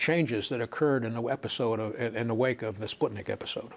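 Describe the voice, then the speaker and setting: A man speaks fairly quickly in an unremarkable speaking voice at medium pitch. His intonation stays fairly even. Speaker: university professor and administrator recounting his career. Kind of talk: reflective oral-history talk about his career.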